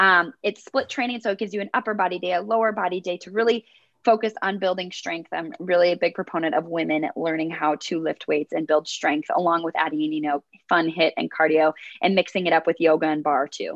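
With an American accent, a woman talks fairly quickly in an ordinary speaking voice, her fairly low pitch showing ordinary variation. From US Midwest, rural Minnesota. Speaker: fitness instructor and content creator. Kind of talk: interview.

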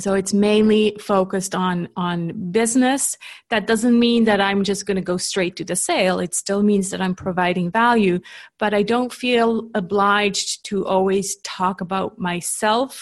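Speaking with a Canadian accent, a woman uses fairly even intonation at a fairly slow pace against a quiet background. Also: medium pitch for a woman. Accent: Canadian-sounding English. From Switzerland. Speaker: LinkedIn marketing coach. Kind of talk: interview.

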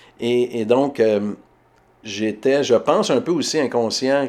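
A man speaks with a Quebec accent. His pitch is medium, with ordinary variation. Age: 40s. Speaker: writer. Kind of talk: interview. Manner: halting.

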